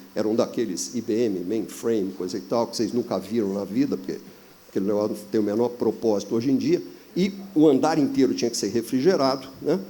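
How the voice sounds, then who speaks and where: This man talks at a fairly quick pace. His tone is dark and mellow. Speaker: business consultant. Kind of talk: panel discussion.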